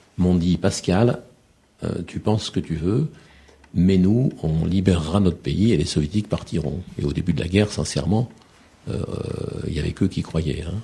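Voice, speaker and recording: A man speaks with a very deep, low pitch and ordinary pitch variation. He leaves long, frequent pauses. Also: moderate pace. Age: 50s. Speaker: war reporter and author. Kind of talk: radio interview. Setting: radio studio. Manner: halting, many repetitions.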